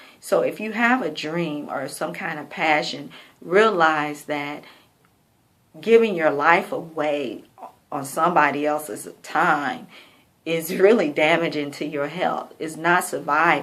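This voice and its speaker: The woman's pitch is very deep and low. She speaks at a fairly slow pace with audible room echo. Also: ordinary pitch variation, big swings in loudness. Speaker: vlogger. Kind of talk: personal video diary. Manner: slightly slurred speech; casual, hesitant.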